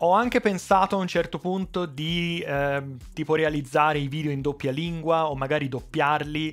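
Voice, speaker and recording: A Tuscan accent at a moderate pace, with hardly any pauses and ordinary pitch variation. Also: man, fairly high pitch for a man. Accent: Tuscan Italian. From Italy, Tuscany. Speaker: electronics repair youtuber; tech YouTuber. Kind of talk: casual vlog address. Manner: unscripted, with fillers and restarts. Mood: friendly, light humor. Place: workshop. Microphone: headset.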